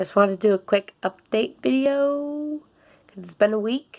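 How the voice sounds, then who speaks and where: Her intonation is lively, and the woman's voice carries a dark, mellow tone. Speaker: vlogger. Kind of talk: casual vlog update. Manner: casual, chatty.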